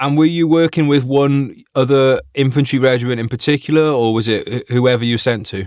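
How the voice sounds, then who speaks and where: A man with a normal speaking voice and a medium pitch talks at a moderate pace with fairly even intonation and hardly any pauses, on a very clean recording with a silent background. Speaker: podcast host, army veteran. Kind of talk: interview questions.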